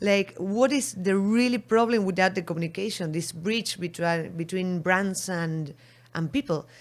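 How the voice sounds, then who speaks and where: A woman with an Argentine accent on a very clean recording with a silent background. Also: medium pitch for a woman, ordinary pitch variation, moderate pace. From Argentina. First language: Spanish. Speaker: beverage marketing entrepreneur. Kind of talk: interview. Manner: halting.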